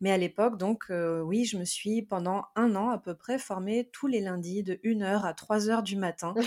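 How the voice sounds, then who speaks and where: A woman with an unremarkable speaking voice and medium pitch talks at a fairly slow pace, with fairly even intonation and hardly any pauses. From France. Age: 30s. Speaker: tarot reader. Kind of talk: interview.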